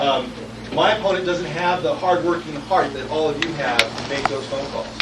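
The speaker has an American accent and a moderate pace. Loud background noise runs underneath. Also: man. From California, US. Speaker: political candidate. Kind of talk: rally speech, stump speech. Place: hall.

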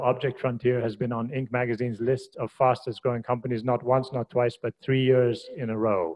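Talking at a moderate pace, a man keeps his intonation fairly even. He leaves hardly any pauses. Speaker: university faculty host. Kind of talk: speaker introduction. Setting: stage with audience. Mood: warm, lightly joking. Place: hall.

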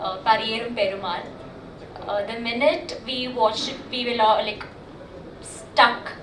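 A woman with a non-native accent speaks at a fairly high pitch with fairly even intonation. Room echo and background noise are both noticeable. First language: not Kannada (speaking Kannada). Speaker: actress. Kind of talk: speech at audio launch event. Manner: halting, many fillers.

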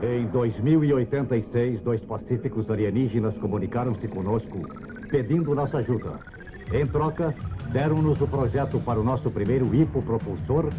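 A man talks with lively intonation. Background music plays underneath. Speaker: voice actor. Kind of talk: cartoon opening narration. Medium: dub.

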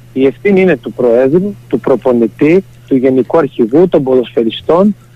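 A man at a moderate pace, in an ordinary speaking voice. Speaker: football player, team captain. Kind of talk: radio interview. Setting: phone call.

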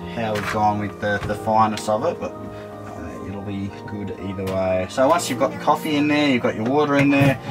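A man talks with hardly any pauses and ordinary pitch variation. Clear music plays in the background. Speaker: travel vlogger. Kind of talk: casual vlog chat tutorial. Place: kitchen.

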